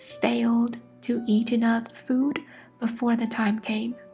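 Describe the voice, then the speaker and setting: A soft-spoken woman at a fairly high pitch, with monotone, flat intonation and a very slow pace, over background music. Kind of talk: ASMR sleep story.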